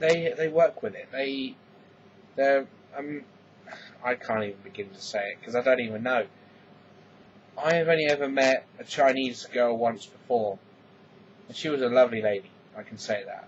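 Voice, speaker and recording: Against noticeable background noise, a man with an English accent talks at a moderate pace and medium pitch, with ordinary pitch variation, big swings in loudness and long, frequent pauses. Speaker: vlogger. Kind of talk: casual vlog monologue. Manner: halting, repeats words.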